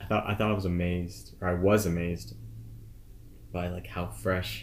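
A man with a very deep, low pitch and vocal fry speaks at a moderate pace with very wide pitch swings and long, frequent pauses. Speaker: podcast host. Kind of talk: casual interview chat.

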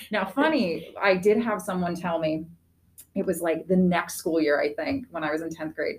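Somewhat breathy, a woman with an American accent talks at a moderate pace in a medium pitch, her intonation lively. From northeastern Pennsylvania, Wilkes-Barre/Scranton area. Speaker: school teacher. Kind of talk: casual chat.

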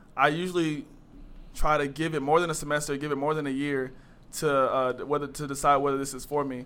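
A man with an American accent talks at a fairly quick pace in a fairly high, bright, sharp voice. His intonation stays flat and monotone, and the room echo is audible. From North Carolina, Greensboro. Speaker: college student. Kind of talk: casual interview.

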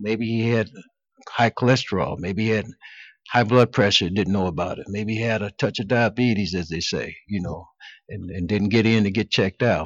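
A man with a plain, everyday voice and an American accent speaks at a moderate pace in a fairly low pitch with fairly even intonation. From Cleveland, Ohio. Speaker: physician. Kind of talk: interview.

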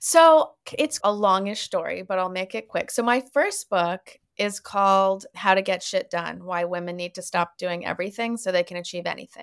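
A woman with a Canadian accent has a normal speaking voice, medium in pitch with ordinary pitch variation. She keeps a moderate pace with hardly any pauses, and the sound is dry and close with no echo. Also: very clean recording, silent background. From Canada (Winnipeg, Toronto, Montreal). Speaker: author and therapist. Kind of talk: podcast interview.

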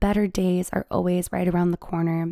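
Her tone is dark and mellow, and this woman's pitch sits in the medium range. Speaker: podcast host. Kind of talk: personal monologue podcast. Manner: animated.

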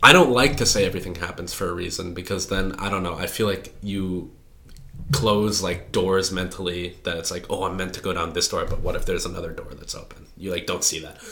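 Over noticeable background noise, a man talks at a fairly quick pace with a very deep, low pitch. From US Midwest. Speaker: computer science student. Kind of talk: casual chat.

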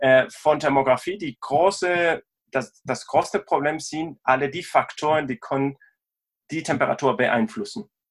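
In a Spanish accent, a man speaks fairly slowly at a fairly high pitch with ordinary pitch variation. The recording is very clean, with a silent background. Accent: Spanish accent, non-native German. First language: Spanish (speaking German). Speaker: sports tech company co-founder, sports scientist. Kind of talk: interview. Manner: halting, hesitant non-native speech.

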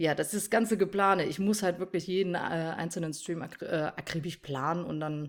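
A normal speaking voice moves at a moderate pace with ordinary pitch variation and hardly any pauses. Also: woman, fairly low pitch for a woman. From North Rhine-Westphalia, Germany (village). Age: 20s. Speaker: streamer and mother. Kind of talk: casual interview chat.

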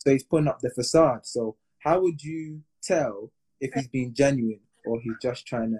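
This man has a British accent and a medium pitch, with a dark, mellow tone that is somewhat breathy. He speaks at a moderate pace in a dry, close sound with no echo. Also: ordinary pitch variation. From England. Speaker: podcast host. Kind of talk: casual chat. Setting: Instagram live.

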